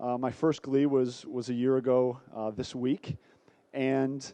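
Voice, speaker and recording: A man speaks at a fairly slow pace with an American accent. His medium-pitched voice has a dark, mellow tone. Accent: American accent, noticeable. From United States. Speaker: sales director presenting a trade seminar. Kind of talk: business presentation.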